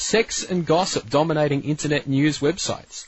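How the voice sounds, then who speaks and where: A man talks in a fairly high voice with vocal fry. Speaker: radio presenter. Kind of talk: talk radio show.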